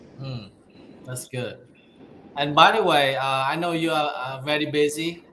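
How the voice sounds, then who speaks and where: Against noticeable background noise, a man with a Vietnamese accent speaks at a fairly high pitch with fairly even intonation. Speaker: interviewer, coach. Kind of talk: interview.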